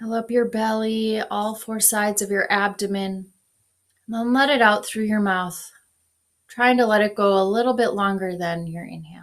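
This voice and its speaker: A woman with an American accent talks at a fairly high pitch and fairly even intonation over a very clean recording with a silent background. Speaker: pastor. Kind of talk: guided meditation. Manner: slow; soft-spoken.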